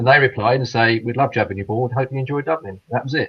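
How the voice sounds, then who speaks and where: In a British accent, a man speaks at a very fast pace with a medium, somewhat breathy voice. His pitch varies in an ordinary way. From England, Midlands. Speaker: caller. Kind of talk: casual chat.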